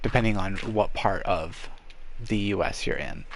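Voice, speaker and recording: The speaker is a man with an American accent talking at a fairly slow pace. Noticeable background noise and audible room echo are present. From New England, US (Maine). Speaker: gamer streamer. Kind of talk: casual live-stream Q&A while gaming. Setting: bedroom, live stream. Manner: hesitant, repeats words, many fillers.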